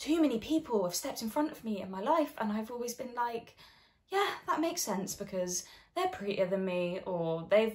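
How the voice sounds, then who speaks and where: A woman's voice makes very wide pitch swings in a quiet background. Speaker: actor in showreel scene. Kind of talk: scripted dramatic scene dialogue. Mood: awkward, then emotional confession. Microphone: phone near.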